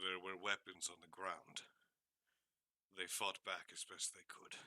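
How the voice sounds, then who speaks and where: A man puts on a raspy character voice with a very deep, low pitch. He speaks at a fairly slow pace, and the sound is dry and close with no echo. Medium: actual play. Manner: terse, measured.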